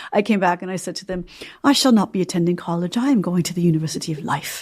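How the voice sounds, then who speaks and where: A woman with a normal speaking voice and an American accent, medium in pitch, ordinary pitch variation, a fairly quick pace. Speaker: novelist and former journalist. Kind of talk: interview.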